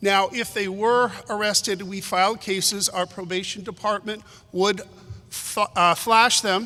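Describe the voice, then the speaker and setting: Raising and projecting his voice, a man speaks with a high pitch, a bright, sharp tone and fairly even intonation. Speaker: prosecutor. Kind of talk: panel presentation. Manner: loud.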